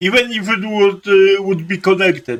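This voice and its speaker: Raising and projecting his voice, a man speaks at a high pitch with a bright, sharp tone. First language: not English. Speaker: YouTube commentator. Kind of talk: video commentary. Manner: halting, many fillers.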